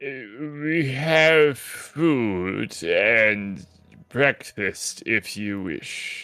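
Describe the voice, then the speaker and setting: A man puts on a character voice at a medium pitch. He delivers it at a very slow pace. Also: lively intonation. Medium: actual play. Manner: polite, formal.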